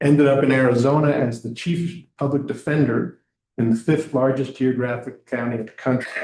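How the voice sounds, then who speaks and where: A man's medium-pitched, ordinary speaking voice with an American accent, fairly even intonation and a fairly quick pace. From New York. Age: 60s. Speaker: state government regional manager and trainer. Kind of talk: training presentation. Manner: casual.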